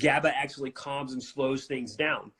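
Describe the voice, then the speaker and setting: This man's intonation is monotone and flat, and his pace is fairly quick. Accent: American. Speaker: functional neurology doctor. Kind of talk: casual interview chat. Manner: fast.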